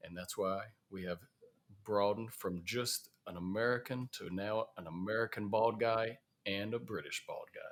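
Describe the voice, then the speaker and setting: A man talks at a medium pitch in a Southern US accent. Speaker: safety podcast host. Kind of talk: casual podcast chat. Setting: in person at a conference in Chicago.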